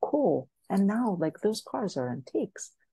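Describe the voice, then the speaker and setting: Her tone is dark and mellow, and somewhat breathy. The woman speaks at a fairly slow pace. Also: dry, close sound with no echo. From Greece and France. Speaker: business coach. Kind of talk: podcast interview. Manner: animated.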